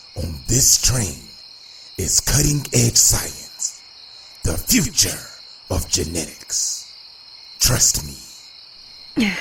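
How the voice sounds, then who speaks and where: A man speaks in a cartoonish character voice at a very slow pace, with long, frequent pauses. Background noise is clearly audible. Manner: smooth, self-assured.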